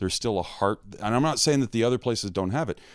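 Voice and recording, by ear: A man talks at a fast pace in a fairly low pitch with an American accent. The recording is very clean, with a silent background. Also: lively intonation.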